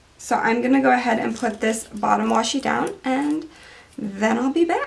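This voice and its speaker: There is noticeable background noise behind this recording. A woman talks at a moderate pace. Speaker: planner decorating video creator. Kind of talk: tutorial. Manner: casual, thinking aloud.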